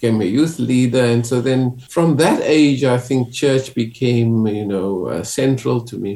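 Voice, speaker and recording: Noticeable background noise surrounds a man speaking with a South African accent at a moderate pace. His pitch is medium, with ordinary pitch variation. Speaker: clergyman. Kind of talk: interview.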